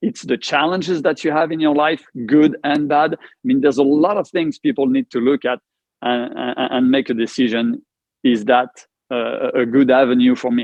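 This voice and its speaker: This man's voice is fairly high in pitch. He talks with a French accent. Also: ordinary pitch variation, moderate pace. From France. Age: 50s. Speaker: cancer survivor. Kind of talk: casual interview conversation.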